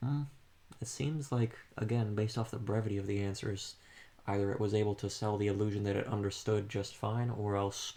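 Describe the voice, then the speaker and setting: A man speaks at a fairly quick pace in a fairly low pitch, his tone dark and mellow and somewhat breathy. His intonation is fairly even and his loudness very even. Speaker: student doing a class assignment. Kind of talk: casual discussion. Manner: monotone.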